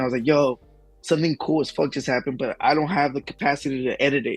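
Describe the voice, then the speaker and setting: Over background music, a man with an American accent rattles along at a very fast pace, his pitch fairly high and his intonation fairly even. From US South. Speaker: YouTuber, Pokemon card content creator. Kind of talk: casual chat. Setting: live-streamed podcast.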